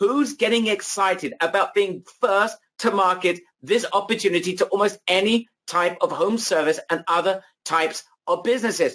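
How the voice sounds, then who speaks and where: Raised and projected, a man's high-pitched voice has a bright, sharp, animated tone and ordinary pitch variation. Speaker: online marketing webinar host. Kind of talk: sales pitch. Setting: live webinar.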